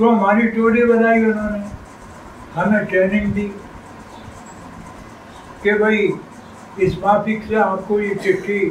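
Very slow, monotone and flat speech from a man with a high pitch, long, frequent pauses, audible room echo and light background noise. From Rajasthan. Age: 80s+. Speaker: freedom fighter. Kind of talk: interview answer. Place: home room.

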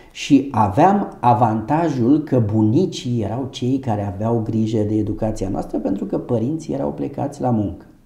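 A man speaks with lively intonation at a fairly slow pace. Audible room echo surrounds his voice against a quiet background. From Romania, Ilfov county near Bucharest; Romania. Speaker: doctor and medical business owner. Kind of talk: interview. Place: office. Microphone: lapel.

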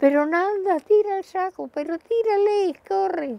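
Shouting in a put-on character voice, a woman sounds squeaky and extremely high-pitched, with ordinary pitch variation at a moderate pace. The sound is dry and close, with no echo. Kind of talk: oral history interview answer. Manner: shouting, urgent.

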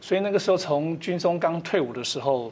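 A man speaks at a fairly quick pace with ordinary pitch variation in an unremarkable speaking voice. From Taiwan, Amis, Hualien; Taiwan. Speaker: retired colonel and organic farmer; guest. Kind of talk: TV panel interview. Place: studio. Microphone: lapel.

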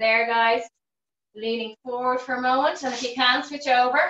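Audible room echo surrounds a woman speaking at a moderate pace with a high pitch. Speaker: fitness instructor. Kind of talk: exercise class instruction. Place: home room. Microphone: video call.

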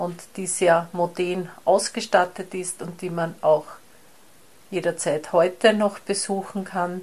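Her intonation remains fairly even. This woman delivers her words at a very slow pace. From rural Austria. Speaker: blind city walk guide. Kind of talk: prepared statement, formal. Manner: formal.

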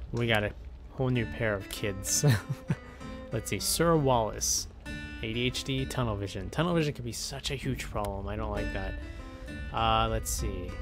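A man at a moderate pace with long, frequent pauses, and clear music in the background. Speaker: gaming YouTuber. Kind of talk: video game commentary. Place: home room.

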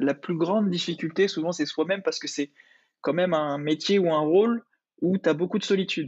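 Fairly quick, fairly even-toned speech with a dry, close sound and no echo. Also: man. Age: 30s. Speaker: podcast host, corporate content manager. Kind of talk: interview.

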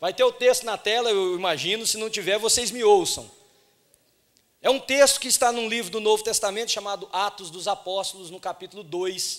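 In a quiet background, a man talks at a high pitch and a moderate pace. His pitch varies in an ordinary way. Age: 40s. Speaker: pastor. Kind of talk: sermon. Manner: animated. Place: church. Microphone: handheld.

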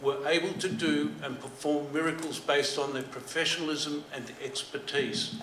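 A man with an Australian accent talks amid audible room echo and light background noise. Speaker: former telecom worker. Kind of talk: presentation. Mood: admiring, congratulatory. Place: hall. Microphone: podium.

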